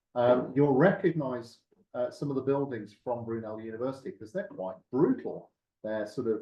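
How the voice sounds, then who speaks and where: In a Birmingham accent, a man talks at a moderate pace and medium pitch with ordinary pitch variation. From West Midlands, England. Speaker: university lecturer and nurse. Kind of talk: meeting presentation. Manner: hesitant, many fillers.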